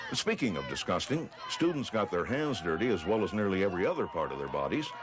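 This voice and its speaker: A man talks rather fast, his pitch swinging very widely, against noticeable background noise. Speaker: newsreel narrator. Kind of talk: documentary narration.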